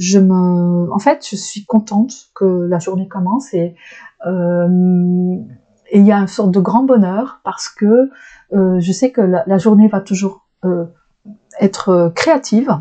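A woman speaks very slowly in a dark, mellow tone at a medium pitch, with ordinary pitch variation and long, frequent pauses. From Flanders, northern Belgium. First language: Dutch (Flemish) (speaking French). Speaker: shiatsu practitioner. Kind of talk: interview conversation. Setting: small private room. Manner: hesitant, searching for words.

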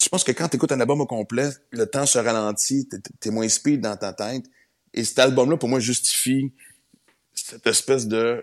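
At a moderate pace, a man speaks in a plain, everyday voice, his medium pitch showing ordinary pitch variation. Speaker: comedian and radio host. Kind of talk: casual chat.

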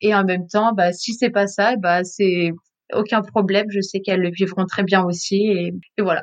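At a moderate pace, a woman speaks at medium pitch in a flat monotone. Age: 20s. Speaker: early childhood educator, friend of expatriates. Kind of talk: interview. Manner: halting.

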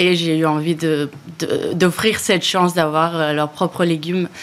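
With monotone, flat intonation, the voice moves at a moderate pace. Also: woman. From Spain, Barcelona. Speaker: startup founder. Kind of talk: interview.

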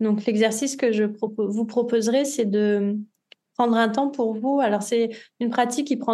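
The woman's voice has a dark, mellow tone, and her intonation stays fairly even. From southern France, Nice. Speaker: yoga guide and tarot practitioner. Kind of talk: interview, casual conversation; guided meditation instructions.

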